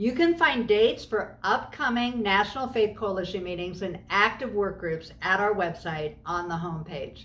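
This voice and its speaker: Lively intonation and a moderate tempo from a woman with a normal speaking voice. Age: 60s. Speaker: faith community leader, anti-trafficking advocate. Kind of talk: video tutorial talk, scripted.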